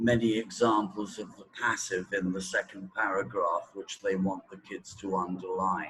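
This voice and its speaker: This man talks at a fairly slow pace with a British accent. His pitch is fairly low. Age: 60s. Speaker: teacher trainer. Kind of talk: interview. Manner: hesitant, many fillers.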